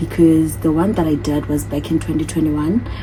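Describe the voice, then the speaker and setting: A woman's very deep, low-pitched voice against noticeable background noise. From South Africa, Eastern Cape. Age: 30s. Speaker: vlogger. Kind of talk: casual vlog Q&A.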